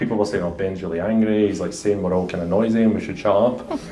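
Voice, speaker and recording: A man talks with a strong Glasgow accent, and audible room echo surrounds his voice. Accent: thick Glasgow. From Scotland, Glasgow. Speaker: senior engineering director, panelist. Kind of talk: panel discussion.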